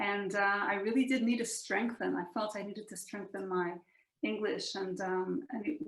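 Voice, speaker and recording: Speaking with an Australian accent, a woman uses lively intonation at a moderate pace and a medium pitch. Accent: Australian English accent, retained. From Israel. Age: 40s. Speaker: physicist and dancer. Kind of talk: casual interview chat.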